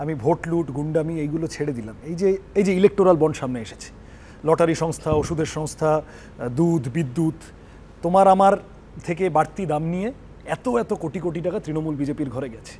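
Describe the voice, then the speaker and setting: Over light background noise, a man talks at a fairly high pitch with ordinary pitch variation and big swings in loudness. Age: young. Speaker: politician, election candidate. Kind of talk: televised political debate. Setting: studio. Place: studio. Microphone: lapel.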